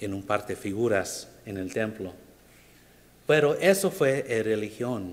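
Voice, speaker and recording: A man's medium-pitched voice with an English accent, at a very slow pace, ordinary pitch variation and audible room echo. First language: English (speaking Spanish). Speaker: preacher. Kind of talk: sermon. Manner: halting.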